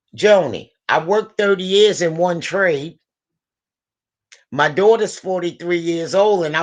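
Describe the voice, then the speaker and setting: With an animated tone, a woman speaks at a fairly slow pace in a fairly low pitch with ordinary pitch variation. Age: 60s. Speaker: guest speaker, experienced worker. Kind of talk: casual chat, mentoring advice.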